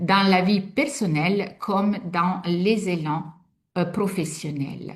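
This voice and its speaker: Somewhat breathy, a woman with an Italian accent speaks at a medium pitch with ordinary pitch variation. She goes at a very slow pace, with audible room echo. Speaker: sophrologist and art workshop facilitator. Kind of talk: online workshop presentation. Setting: video call webinar. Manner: hesitant, many fillers.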